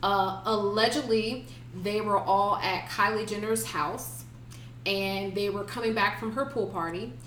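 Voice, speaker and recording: A woman with an American accent, medium-pitched and lively in intonation, at a fairly slow pace over noticeable background noise. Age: 30s. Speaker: podcast co-host. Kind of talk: casual chat.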